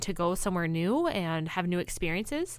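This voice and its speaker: At a fairly quick pace, a woman with an ordinary speaking voice talks at a medium pitch with lively intonation. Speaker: podcast host and therapist. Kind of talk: casual interview chat.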